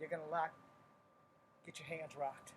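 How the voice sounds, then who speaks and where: A man talks quietly at a fairly high pitch. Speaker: martial arts instructor. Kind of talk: live-streamed tutorial. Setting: at home at night, live stream. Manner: kept quiet.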